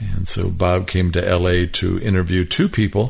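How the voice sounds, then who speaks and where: With an American accent, a man talks at a fairly slow pace. His pitch is very deep and low. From Milwaukee, Wisconsin. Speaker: music industry executive. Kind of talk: casual chat. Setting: in person at host's home.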